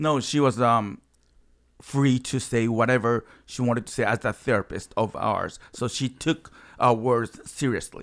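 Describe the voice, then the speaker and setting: A speaker with a strong Japanese accent talks at a fairly slow pace with fairly even intonation. The recording is very clean, with a silent background. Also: man, medium pitch for a man. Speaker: improv comedian and actor. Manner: halting, broken English.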